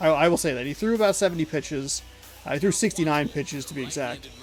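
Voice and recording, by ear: Music plays in the background as a man with an American accent speaks at a fairly quick pace with lively intonation.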